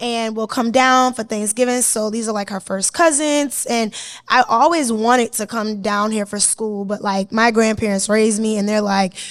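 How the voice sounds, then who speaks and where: Delivered with an American accent at a moderate pace, the speech has fairly even intonation and hardly any pauses on a very clean recording with a silent background. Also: woman, fairly high pitch for a woman. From Boston, Massachusetts. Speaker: content creator and media personality. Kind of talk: interview. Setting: studio with audience.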